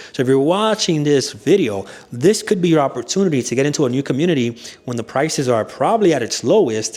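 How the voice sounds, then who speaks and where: Over noticeable background noise, a man talks at a very fast pace. His pitch is fairly high and his intonation lively. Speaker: realtor and mortgage broker. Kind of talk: real estate video tour. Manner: casual, conversational.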